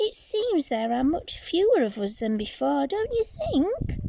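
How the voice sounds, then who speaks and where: A woman performs a put-on character voice at an extremely high pitch with very wide pitch swings. She keeps a moderate pace over clear background noise. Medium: read story.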